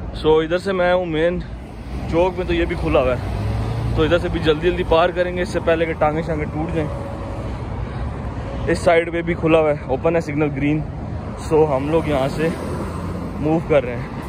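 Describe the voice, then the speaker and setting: The sound is dry with no echo, with noticeable background noise, a moderate pace, and long, frequent pauses. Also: man. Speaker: vlogger. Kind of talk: casual vlog chat. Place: street. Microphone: phone near.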